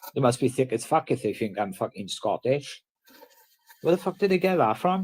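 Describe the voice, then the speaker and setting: In a South Wales accent, a man talks at a moderate pace. His fairly high pitch moves in very wide swings. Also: dry, close sound with no echo. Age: 30s. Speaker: livestreamer. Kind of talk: casual chat.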